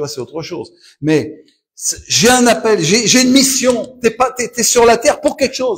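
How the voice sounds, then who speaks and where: A man's voice swings very widely in pitch. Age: 70s. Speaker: pastor. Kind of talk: sermon. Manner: animated.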